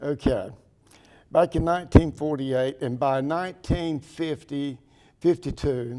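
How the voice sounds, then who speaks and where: Dark, mellow tone in a North Carolina accent, ordinary pitch variation, and a very clean recording with a silent background. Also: man. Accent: southern US, rural North Carolina. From US South, Pembroke, North Carolina. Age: 70s. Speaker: town mayor. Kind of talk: interview.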